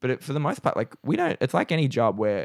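A speaker with an Australian accent is heard on a very clean recording with a silent background. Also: man. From Newcastle, Australia. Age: 20s. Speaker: comedian. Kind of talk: casual chat.

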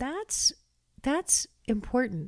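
A woman speaks in a Canadian accent with a dark, mellow tone at a fairly slow pace. The recording is very clean with a silent background and a dry, close sound with no echo. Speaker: set designer. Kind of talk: interview.

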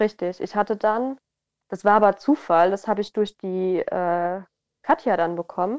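A woman speaks at medium pitch with ordinary pitch variation. Her moderate pace comes through a dry, close sound with no echo. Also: quiet background. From southern Hesse, Germany. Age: 20s. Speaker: model. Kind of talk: casual interview. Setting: remote call. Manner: animated, frequent laughter.

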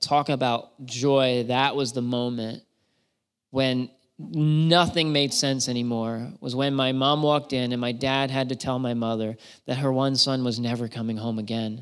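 This man has an unremarkable speaking voice with an American accent, medium pitch and fairly even intonation. The recording is very clean, with a silent background. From south-central Pennsylvania (York County). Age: 30s. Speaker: missionary. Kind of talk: testimony. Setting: church.

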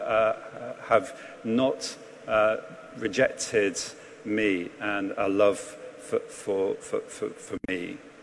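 A man's voice over noticeable background noise. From England. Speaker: priest. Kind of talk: sermon. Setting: church.

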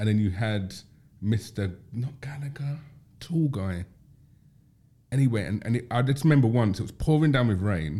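Somewhat breathy, a man with a London accent talks at a moderate pace in a medium pitch, his intonation lively and broken by long, frequent pauses. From South London, Tulse Hill. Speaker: podcast host. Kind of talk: casual chat.

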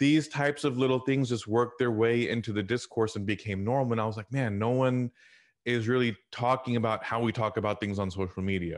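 A plain, everyday voice from a man, fairly quick and fairly even in intonation, at medium pitch against a quiet background. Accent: American. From US South, Houston, Texas. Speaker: technology consultant and leadership trainer. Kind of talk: interview.

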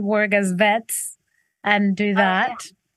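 Against a quiet background, a woman's medium-pitched voice with fairly even intonation comes through with a dry, close sound and no echo. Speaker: singer songwriter. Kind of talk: interview. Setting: video call.

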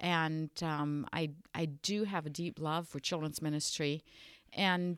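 A woman speaks with a very deep, low pitch. The recording is very clean with a silent background and a dry, close sound with no echo. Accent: German. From western Germany. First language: German. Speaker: Lutheran bishop. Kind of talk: casual interview about church traditions.

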